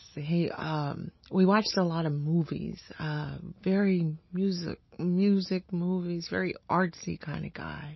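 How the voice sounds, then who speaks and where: Speaking very slowly with an American accent, a woman uses a fairly low, somewhat breathy voice in a flat monotone. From Honduras, then Boston. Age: 40s. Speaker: interviewee sharing life story. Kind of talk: oral history interview. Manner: halting, many fillers.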